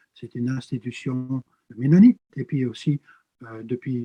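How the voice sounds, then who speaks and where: Very slowly, a man speaks at medium pitch with ordinary pitch variation, his voice somewhat breathy and dark and mellow in tone, the sound dry and close with no echo. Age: 60s. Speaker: pastor and theology professor. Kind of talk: interview. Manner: hesitant, frequent filler sounds.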